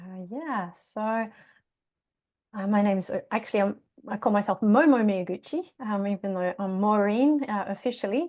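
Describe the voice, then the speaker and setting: With a slight Australian accent, a woman speaks at a moderate pace. Her pitch is medium, with ordinary variation. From Australia, Tasmania. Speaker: yoga teacher and singer. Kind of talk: podcast interview. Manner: hesitant, many fillers.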